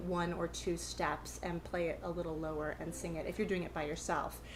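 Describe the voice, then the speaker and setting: This woman speaks at a fairly quick pace. There is audible room echo. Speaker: ukulele teacher. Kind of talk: tutorial. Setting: live stream session. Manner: fast.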